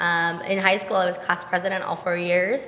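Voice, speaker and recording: Over noticeable background noise, a woman talks at a medium pitch in a flat, monotone way. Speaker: entrepreneur. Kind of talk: podcast interview.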